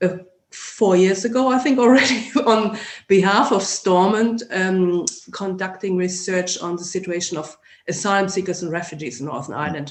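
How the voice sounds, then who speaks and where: With a German accent, the speaker keeps a moderate pace. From Germany. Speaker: sociology lecturer. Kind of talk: interview.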